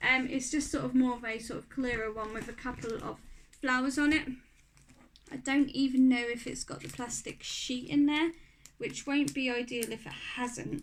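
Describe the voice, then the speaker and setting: A woman with a Norfolk accent speaks at a moderate pace in a high pitch with fairly even intonation. Her loudness swings widely. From Norfolk, England. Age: 30s. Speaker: craft and beauty YouTuber. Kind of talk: casual talk to camera.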